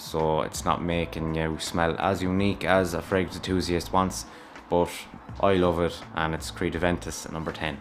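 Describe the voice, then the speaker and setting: With an Irish accent, a man talks at a moderate pace in a very deep, low pitch with ordinary pitch variation. Noticeable background noise can be heard. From Ireland. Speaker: fragrance YouTuber. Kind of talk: casual review vlog. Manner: rambling, conversational.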